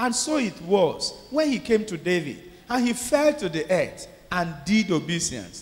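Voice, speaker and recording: A man talks at a fairly slow pace with lively intonation. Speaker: clergyman preacher. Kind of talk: sermon. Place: church. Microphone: handheld.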